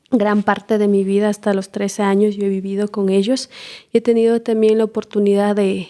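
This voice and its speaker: A woman with an Ecuadorian accent speaks at a moderate pace and medium pitch. Her tone is dark and mellow, and her intonation is a flat monotone. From Ecuador, Imbabura highlands (Otavalo). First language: Kichwa (speaking Spanish). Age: young. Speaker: permaculture trainer and community organizer. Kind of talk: interview.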